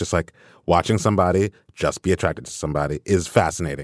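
A man with a very deep, low pitch speaks at a very fast pace, with lively intonation and vocal fry. The sound is dry and close with no echo, on a very clean recording with a silent background. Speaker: culture critic and staff writer. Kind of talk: casual chat.

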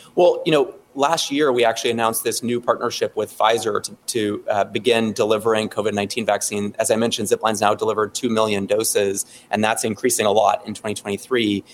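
The speaker is a man, moving at a fairly quick pace. Pauses are hardly present at all. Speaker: tech company executive. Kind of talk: interview. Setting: video call.

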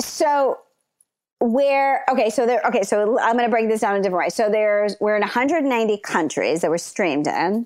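A woman speaks fairly quickly in a plain, everyday voice with an American accent. Her pitch is fairly high, her intonation lively, and her loudness very even. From Los Angeles, raised from age nine; early years London and Zambia. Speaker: TV executive. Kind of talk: interview.

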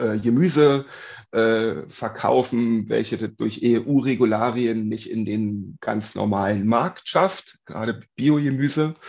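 A man talks in a medium pitch with fairly even intonation. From Uckermark, Brandenburg, Germany. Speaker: daycare cook. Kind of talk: interview. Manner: halting, many fillers.

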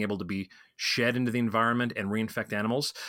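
This man's medium-pitched voice has a bright, sharp tone, captured in a very clean recording with a silent background and a dry, close sound with no echo. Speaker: wildlife disease expert. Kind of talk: interview. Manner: talkative.

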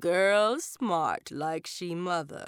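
A female-sounding, raspy put-on character voice sits at a middle pitch. The recording is very clean with a silent background. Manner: angry, snarling, through bared teeth.

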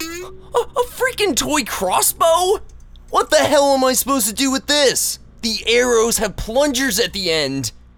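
Over light background noise, a man puts on a whiny character voice at an extremely high pitch, speaking at a fairly slow pace. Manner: whiny, sardonic.

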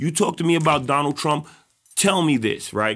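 A man with a New York accent and an animated tone. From New York City, South Bronx. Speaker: activist. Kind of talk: heated debate.

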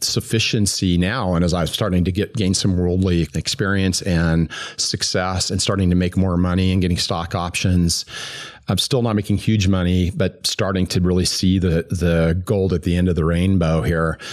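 In a General American accent, a man with a very deep, low pitch speaks at a moderate pace, with fairly even intonation and very even loudness. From US, Greeley, Colorado. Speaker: former business executive and recovering alcoholic. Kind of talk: personal faith testimony. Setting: recorded in person at a church.

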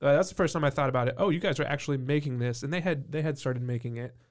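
A man's medium-pitched voice carries fairly even intonation on a very clean recording with a silent background. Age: 30s. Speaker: brewery co-owner. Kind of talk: casual chat.

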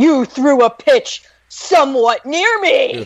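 A growling, high-pitched put-on character voice moves at a fairly slow pace. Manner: over-dramatized.

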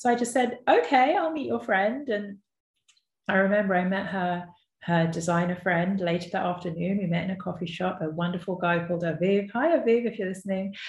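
A woman with a London accent speaks fairly quickly at a medium pitch, somewhat breathy, her intonation lively. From North West London, England. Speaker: podcast host and entrepreneur. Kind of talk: personal storytelling monologue. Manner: conversational with frequent fillers.

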